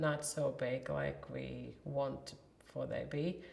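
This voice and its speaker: A woman speaks with a Latvian accent. Audible room echo is heard around her voice. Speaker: warehouse worker. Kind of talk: interview.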